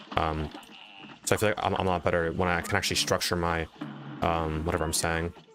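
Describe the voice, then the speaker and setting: Noticeable background noise behind a man with a very deep, low pitch, monotone, flat intonation, a fairly quick pace and long, frequent pauses. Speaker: YouTuber and game streamer. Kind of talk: live stream commentary with chat. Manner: fast; casual, hesitant fillers.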